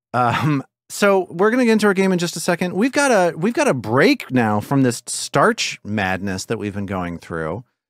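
A man speaks at a fairly quick pace with very wide pitch swings. The sound is dry with no echo, over a quiet background. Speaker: podcast host. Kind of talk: casual podcast intro chat. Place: home room. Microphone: studio mic.

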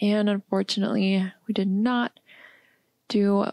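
Soft-spoken, a woman with a medium pitch and a dark, mellow tone speaks in a dry, close sound with no echo. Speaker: gamer. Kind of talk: casual gameplay commentary. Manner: soft-spoken, relaxed.

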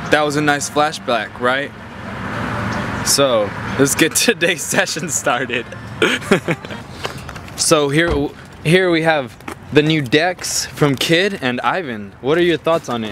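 A man at a very slow pace, with long, frequent pauses and lively intonation, in a dry sound with no echo over light background noise. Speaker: skate vlogger filming. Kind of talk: casual vlog chat. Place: street. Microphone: phone near.

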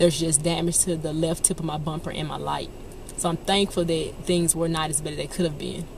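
A woman with a fairly low pitch speaks at a fairly quick pace in a monotone, flat intonation, with a dry sound with no echo and light background noise. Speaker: vlogger. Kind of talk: casual vlog chat. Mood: reflective, thankful after accident. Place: car. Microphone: phone near.

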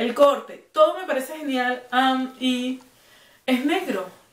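Room echo surrounds a woman's high-pitched, animated voice with lively intonation. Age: 30s. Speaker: fashion YouTuber. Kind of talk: clothing haul video. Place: home room. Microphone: camera far.

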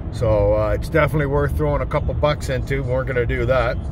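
A man's fairly quick speech, dry with no echo, over noticeable background noise. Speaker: homesteading vlogger. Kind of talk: casual vlog chat. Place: car. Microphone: phone near.

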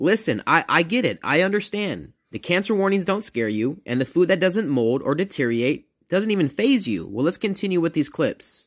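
A man at a moderate pace, his pitch swinging very widely, with hardly any pauses against a quiet background. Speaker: reaction video creator. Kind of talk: commentary. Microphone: phone near.

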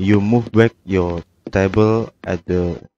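A man's fairly low voice with a non-native accent, dry and close with no echo. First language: non-native English speaker. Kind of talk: video game tutorial narration.

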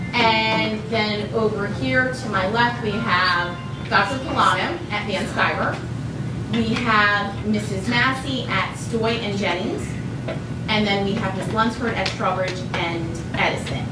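The speech moves at a very slow pace with audible room echo. Music plays in the background. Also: woman. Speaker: presenter. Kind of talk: public presentation introduction. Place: hall.

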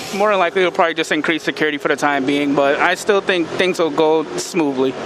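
A man with an American accent speaks at a fairly quick pace and a fairly high pitch. The sound is dry with no echo, though there is noticeable background noise. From South Carolina, US. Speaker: interviewee, foreign resident; interviewee. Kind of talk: street interview. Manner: halting. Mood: serious, reflective. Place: street. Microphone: handheld.

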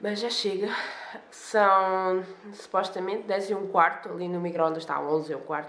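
A woman's intonation remains fairly even, with audible echo from the room. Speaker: vlogger. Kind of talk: casual vlog chat. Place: home room. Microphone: phone near.

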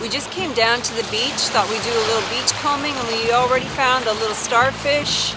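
Ordinary pitch variation comes through over music in the background, with a dry sound and no echo. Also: woman. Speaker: travel vlogger. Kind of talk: casual vlog chat. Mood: cheerful, upbeat. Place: beach.

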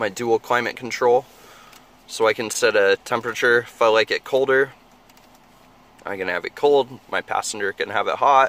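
At a moderate pace, a man talks with fairly even intonation and long, frequent pauses, the sound dry with no echo. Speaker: car salesman. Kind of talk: product walkaround tour. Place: car. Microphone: phone near.

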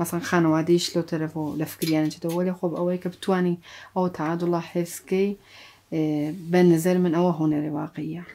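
Fairly quickly and in a flat monotone, a woman speaks with a dark, mellow tone. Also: fairly low pitch for a woman. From Sanandaj, Iranian Kurdistan; Iranian Kurdistan. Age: 40s. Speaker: actor and dubbing director; actor. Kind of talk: interview. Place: studio. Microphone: lapel.

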